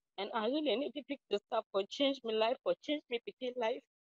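A woman with a Sierra Leonean accent speaks at a moderate pace and fairly high pitch, with ordinary pitch variation. The sound is dry with no echo, and the background is quiet. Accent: Sierra Leonean Krio-accented English. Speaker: reality show contestant. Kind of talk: audition interview. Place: open country. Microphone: phone near.

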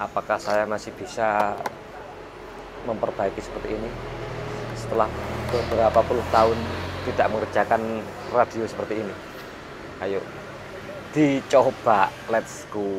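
A man talks at a moderate pace, leaving long, frequent pauses, with noticeable background noise behind him. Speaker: radio repair technician. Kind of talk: casual tutorial chat. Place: workshop. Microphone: lapel.

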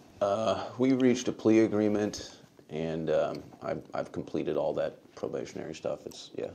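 There is light background noise as a man talks at a moderate pace. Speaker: media host giving deposition. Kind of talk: deposition testimony. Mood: measured, somewhat guarded. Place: meeting room.

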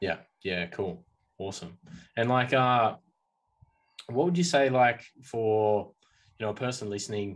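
With an Australian accent, a man speaks at a fairly slow pace with ordinary pitch variation and long, frequent pauses over a quiet background. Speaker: podcast host. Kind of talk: interview. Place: home room. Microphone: video call.

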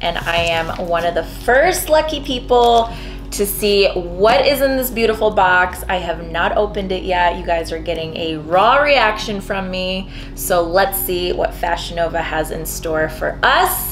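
Clear music sits in the background as a woman speaks at a fairly slow pace. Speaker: beauty vlogger. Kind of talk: casual vlog chat. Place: home room. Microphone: camera far.

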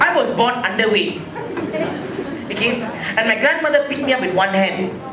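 There is noticeable background noise as a man speaks with a Malaysian accent. He talks with hardly any pauses. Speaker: stand-up comedian. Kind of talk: stand-up comedy set. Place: bar. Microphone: handheld.

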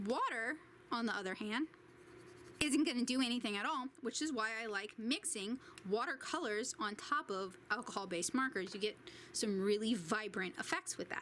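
Light background noise sits behind a woman whose lively intonation moves at a moderate pace. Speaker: art supply reviewer. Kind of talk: tutorial. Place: home room.

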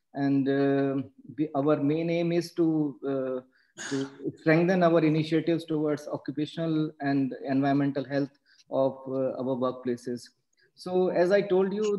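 Against a quiet background, a man speaks at a fairly slow pace. His intonation stays fairly even. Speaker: webinar host introducing the speaker. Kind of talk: formal webinar introduction. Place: home room. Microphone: video call.

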